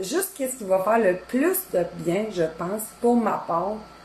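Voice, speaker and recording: At a very slow pace, a woman talks in a Quebec accent. Her pitch is fairly high. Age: 30s. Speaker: cooking content creator. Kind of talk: casual live-stream chat. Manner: hesitant, lots of fillers.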